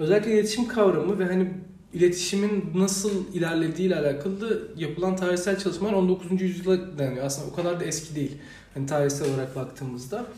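Amid noticeable background noise and audible room echo, a man talks at a very fast pace in a high pitch with ordinary pitch variation. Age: 20s. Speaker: university student and youth organisation director. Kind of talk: podcast interview. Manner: hesitant, many fillers.

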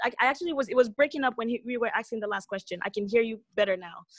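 Speaking very fast, a woman with an American accent has a high-pitched voice. The sound is dry and close with no echo, over a quiet background. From US West Coast (California). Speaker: restaurant entrepreneur. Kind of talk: interview.

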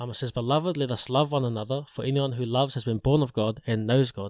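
Speaking at a very fast pace in a New Zealand accent with fairly even intonation, the voice is captured dry and close with no echo on a very clean recording with a silent background. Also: man. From New Zealand, Porirua area. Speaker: podcaster. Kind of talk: testimony. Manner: casual, halting with repeated words.

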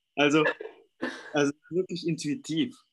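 On a very clean recording with a silent background, a man with a non-native accent speaks at a fairly slow pace. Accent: foreign accent in German. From Indonesia. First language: Indonesian (speaking German). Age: young. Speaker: life coach. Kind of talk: interview.

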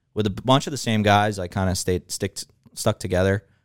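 On a very clean recording with a silent background and a dry, close sound with no echo, a man with a normal speaking voice talks in a fairly low pitch with fairly even intonation. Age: 20s. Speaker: podcast guest.

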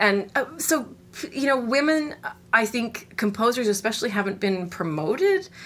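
With noticeable background noise behind her, a woman in a Canadian accent talks at a moderate pace, her fairly high pitch making very wide swings. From Canada, Winnipeg, Manitoba. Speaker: cello professor. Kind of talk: interview.

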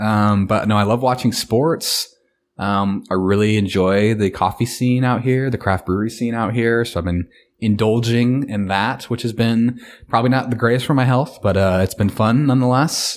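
A man's normal speaking voice at medium pitch, fairly even in intonation and very even in loudness, at a moderate pace, on a very clean recording with a silent background. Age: 20s. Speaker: podcast co-host. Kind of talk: casual chat.

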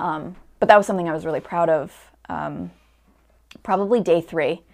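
A woman talks at a moderate pace with ordinary pitch variation. Her fairly low voice carries vocal fry. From Connecticut. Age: 20s. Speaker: actor. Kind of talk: casual interview chat.

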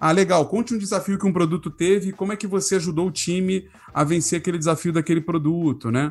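A man speaks with a high pitch at a very fast pace. The recording is very clean, with a silent background. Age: 30s. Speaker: product designer and design leader. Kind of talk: casual chat.

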